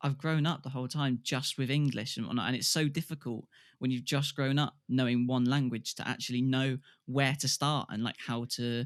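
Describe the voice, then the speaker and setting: In a British accent, a man talks at a moderate pace with fairly even intonation. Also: medium pitch for a man, very clean recording, silent background. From UK. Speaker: podcast host and musician. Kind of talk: casual chat.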